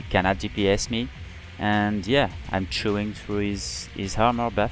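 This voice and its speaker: Over music in the background, a man talks at a moderate pace in a fairly low pitch with ordinary pitch variation. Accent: non-native. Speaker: video game player. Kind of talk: gameplay commentary.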